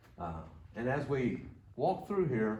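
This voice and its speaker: A man's somewhat breathy voice at a fairly slow pace, with audible room echo. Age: 70s. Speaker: church elder. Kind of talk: guided tour. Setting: indoors, church building.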